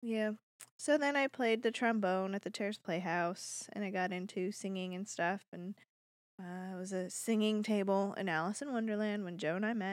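In a very clean recording with a silent background, a woman speaks at a moderate pace with an ordinary speaking voice, medium pitch and ordinary pitch variation. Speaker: podcast co-host. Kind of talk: casual chat.

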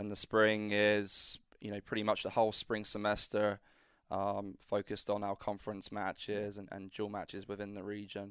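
In a British accent, a man speaks at a moderate pace and fairly low pitch, monotone and flat yet with big swings in loudness, on a very clean recording with a silent background. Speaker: college tennis coach. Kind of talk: casual interview. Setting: studio.

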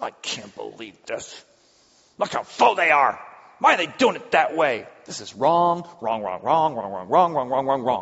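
Using a put-on character voice, a man speaks at a moderate pace in a fairly high pitch, with very wide pitch swings and big swings in loudness. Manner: self-righteous, indignant, complaining.

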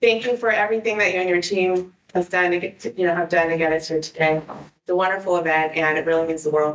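A woman with an American accent speaks very fast, barely pausing, her fairly low voice held to a fairly even intonation. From San Diego area, California. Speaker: former softball player, inductee. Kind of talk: induction speech.

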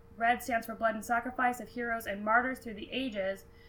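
Over noticeable background noise, a woman with an American accent and high pitch talks at a fairly quick pace. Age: 20s. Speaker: podcast co-host. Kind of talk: casual educational chat.

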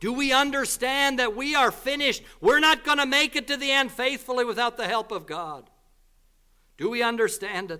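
On a very clean recording with a silent background, a man uses a raised, projected voice at an extremely high pitch, bright and sharp in tone, with lively intonation at a moderate pace. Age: 40s. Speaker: visiting preacher. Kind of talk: sermon. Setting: church.

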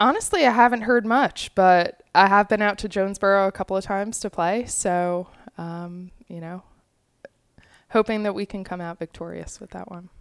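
With an American accent and a plain, everyday voice, a woman speaks at a medium pitch and moderate pace, her intonation fairly even but her loudness swinging widely. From Long Island, New York. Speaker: college soccer coach. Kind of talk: interview.

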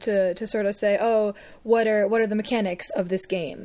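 A woman's plain, everyday voice, fairly high in pitch, at a fairly quick pace. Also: very clean recording, silent background. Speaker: podcast co-host. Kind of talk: casual banter, joking chat.

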